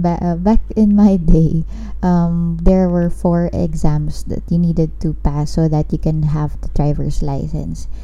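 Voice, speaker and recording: Noticeable background noise and audible room echo surround the recording. A woman talks at a fairly slow pace. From Philippines. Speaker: podcast host. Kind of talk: casual chat. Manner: code-switching between English and Tagalog.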